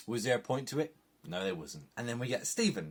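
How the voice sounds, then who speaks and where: Lively intonation at a moderate pace, with an English accent. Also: man. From England. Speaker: film and TV reviewer. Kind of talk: casual review monologue.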